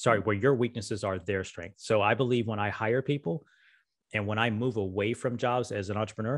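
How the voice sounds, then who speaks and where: A man with a normal speaking voice, fairly low in pitch, at a fairly quick pace with fairly even intonation over a quiet background. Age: 50s. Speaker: entrepreneur and podcast host; podcast guest. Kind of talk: casual interview conversation. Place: home room. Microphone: studio mic.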